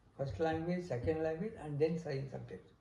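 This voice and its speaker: A man talks in a fairly high voice with a dark, mellow tone. His pitch varies in an ordinary way, and the room echo is audible. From India. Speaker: interviewee sharing life story. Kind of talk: oral history interview. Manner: halting.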